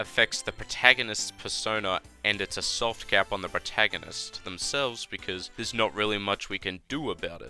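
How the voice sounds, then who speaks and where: Fairly quick talk with ordinary pitch variation, a dry, close sound with no echo, and music in the background. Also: man. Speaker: gaming YouTuber. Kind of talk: game commentary voiceover.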